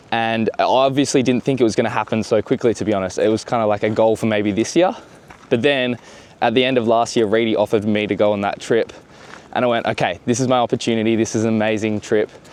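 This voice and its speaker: Amid noticeable background noise, a man with an Australian accent speaks very fast at medium pitch with fairly even intonation. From Western Australia. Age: 20s. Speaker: foiler and filmmaker. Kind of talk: casual interview.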